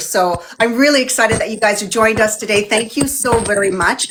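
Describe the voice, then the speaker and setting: A woman's fairly high, animated voice at a fairly quick pace, with music in the background. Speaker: beauty channel host. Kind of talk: livestream interview chat. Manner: loud.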